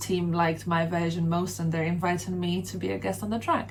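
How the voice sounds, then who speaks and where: Amid noticeable background noise and audible room echo, a woman speaks at a very fast pace in a Polish accent. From Poland (Sopot, north coast). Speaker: rapper and singer. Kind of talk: interview. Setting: radio studio.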